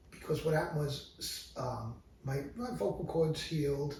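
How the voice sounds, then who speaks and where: A man's fairly high voice comes through with audible room echo and noticeable background noise. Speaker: music teacher. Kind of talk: casual chat. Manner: halting.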